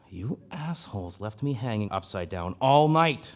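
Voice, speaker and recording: A man does a put-on character voice of medium pitch with very wide pitch swings at a moderate pace. The recording is very clean with a silent background, apart from some hissing. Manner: hissing, furious.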